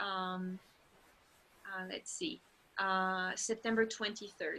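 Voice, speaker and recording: A woman with a French accent speaks fairly slowly in a bright, sharp tone. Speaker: language teacher and program instructor. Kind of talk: informational webinar. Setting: online video webinar. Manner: casual, with frequent fillers.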